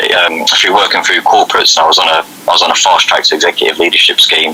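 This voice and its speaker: A man speaks over noticeable background noise. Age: 20s. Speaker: youth well-being coach. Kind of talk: radio interview.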